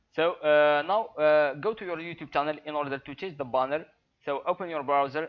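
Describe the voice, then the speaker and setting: A man's fairly high voice with a non-native accent, a fairly quick pace, fairly even intonation and big swings in loudness. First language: not English. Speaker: YouTuber. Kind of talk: tutorial. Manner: halting, many fillers.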